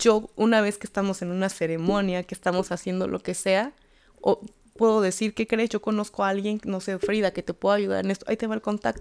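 Against a quiet background, a woman talks fairly quickly at a medium pitch in a monotone, flat delivery. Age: 30s. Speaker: tarot reader and spiritual healer; tarot reader. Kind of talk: casual interview chat. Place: studio. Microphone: studio mic.

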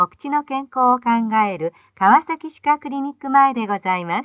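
A woman speaks at a fairly high pitch with lively intonation. The sound is dry and close, with no echo.

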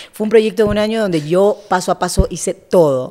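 Using an ordinary speaking voice, a woman speaks fairly quickly at a medium pitch with lively intonation. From Esmeraldas, Ecuador. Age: 30s. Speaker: TV journalist. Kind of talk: casual interview.

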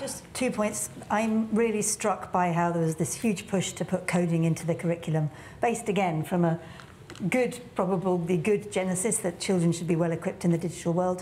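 Against light background noise, a woman with a British accent speaks at a fairly quick pace in a dark, mellow, somewhat breathy tone with ordinary pitch variation. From England. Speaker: tech entrepreneur and business leader; panelist. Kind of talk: panel discussion. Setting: stage with audience. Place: stage. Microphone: lapel.

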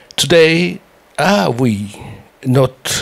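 A man speaks at medium pitch with a French accent. Noticeable background noise is present. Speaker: symposium speaker. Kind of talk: conference presentation. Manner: halting, many fillers and restarts.

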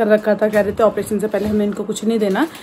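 A woman speaks over light background noise. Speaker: mother vlogger. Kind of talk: casual vlog chat. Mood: slightly anxious, busy. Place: home room. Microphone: phone near.

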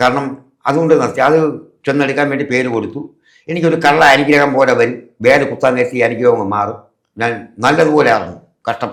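His voice sits at a middle pitch for a man. The room around him echoes audibly. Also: ordinary pitch variation. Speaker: auto-rickshaw driver and devotee. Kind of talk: testimony.

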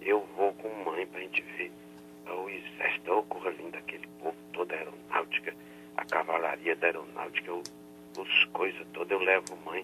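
Noticeable background noise fills the clip as a man talks at a moderate pace, his loudness swinging widely. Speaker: prank call victim. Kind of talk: angry phone call. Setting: phone call. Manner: angry, cursing.

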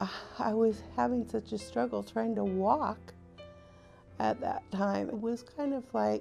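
A woman at a fairly slow pace, with faint music in the background. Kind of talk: interview answer. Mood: earnest, recalling hard times. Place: home room.

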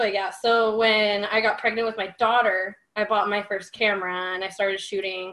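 A woman's nervous, shaky voice at medium pitch, bright and sharp in tone, flat and monotone, at a moderate pace with hardly any pauses, against a quiet background. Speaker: photographer. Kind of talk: casual chat. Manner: nervous, shaky-sounding speech; halting with many fillers.

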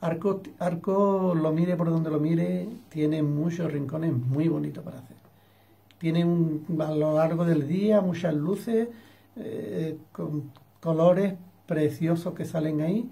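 A man speaks at a very slow pace. His tone is dark and mellow, with ordinary pitch variation. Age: 60s. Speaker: painter. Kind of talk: interview. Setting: studio. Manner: halting. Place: home room. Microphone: webcam.

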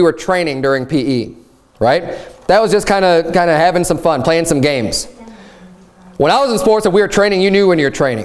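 The delivery is very fast, with lively intonation and an animated tone. Loudness stays very even throughout. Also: man. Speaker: pastor. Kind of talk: sermon. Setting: church. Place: church.

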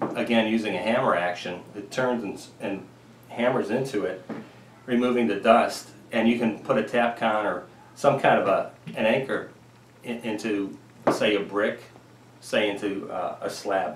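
With noticeable background noise, the voice keeps a moderate pace and fairly even intonation, pausing long and often. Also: man. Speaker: woodworking homesteading channel host. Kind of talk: tutorial. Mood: relaxed, friendly. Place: workshop.

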